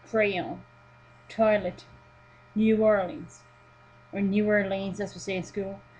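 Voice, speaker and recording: A woman speaks very slowly in a somewhat breathy voice of medium pitch, with ordinary pitch variation and long, frequent pauses. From Sweden. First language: Swedish. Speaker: vlogger. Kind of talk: reading a word list aloud; casual webcam vlog.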